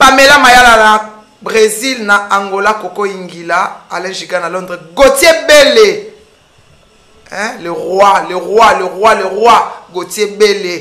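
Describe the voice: In a room with audible echo, a woman speaks fairly slowly at a medium pitch, her tone bright and sharp and her pitch varying in an ordinary way.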